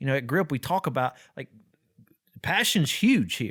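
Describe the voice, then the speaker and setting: Energetic in tone and lively in intonation, a man of medium pitch speaks in a very clean recording with a silent background and a dry, close sound with no echo. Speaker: podcast host. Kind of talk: podcast discussion. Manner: loud, energetic; repetitive, halting restarts.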